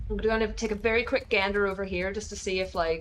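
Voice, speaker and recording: A woman with a medium pitch and fairly even intonation talks through noticeable background noise. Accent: American. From Northern Ireland. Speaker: video game streamer. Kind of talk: casual gaming livestream chat.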